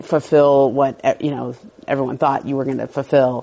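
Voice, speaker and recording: This is a woman's voice. It sits very deep and low in pitch. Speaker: sports journalist. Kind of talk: casual interview chat about NBA. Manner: fast talker.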